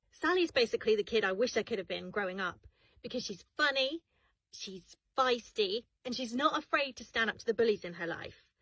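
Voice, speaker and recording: A woman with a British accent speaks at a high pitch with a bright, sharp tone and very wide pitch swings, in a dry, close sound with no echo. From UK. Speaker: voice actor. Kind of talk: casual self-introduction.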